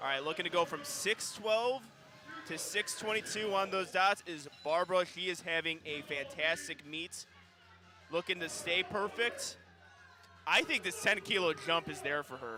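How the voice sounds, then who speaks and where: Music in the background behind a man's high voice, at a moderate pace with lively intonation. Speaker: powerlifting commentator. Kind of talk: live commentary.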